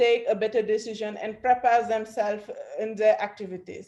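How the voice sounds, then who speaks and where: This woman has a fairly high pitch. Audible room echo surrounds her voice. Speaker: agritech project presenter. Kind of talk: conference presentation. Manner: halting.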